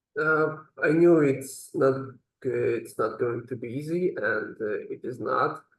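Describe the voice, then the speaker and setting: This man has a non-native accent. He speaks at a fairly slow pace. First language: not English. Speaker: language student. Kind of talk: interview. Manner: halting.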